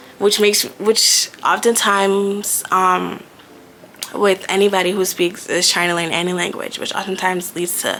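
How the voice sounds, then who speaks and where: A woman's medium-pitched voice, monotone and flat, with noticeable background noise. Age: 20s. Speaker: lifestyle vlogger. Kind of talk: casual vlog talk.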